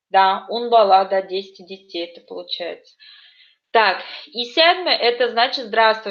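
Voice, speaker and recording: An ordinary speaking voice from a woman, fairly high in pitch. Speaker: language teacher. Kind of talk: online lesson.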